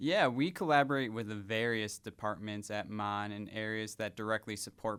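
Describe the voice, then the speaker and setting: In a slight Wisconsin accent, a man speaks with fairly low pitch and a bright, sharp tone. The recording is very clean, the background silent. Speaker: hospital volunteer services director. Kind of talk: radio interview.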